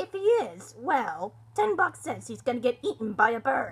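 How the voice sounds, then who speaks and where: At a moderate pace, a woman speaks in a put-on character voice with a high pitch. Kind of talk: reaction video commentary.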